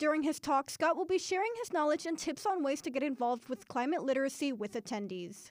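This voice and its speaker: A woman's high-pitched voice at a very fast pace, with very wide pitch swings. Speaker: college radio newsreader. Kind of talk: newsreading, polished scripted campus radio news broadcast. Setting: radio studio. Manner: steady, formal, even-paced and businesslike.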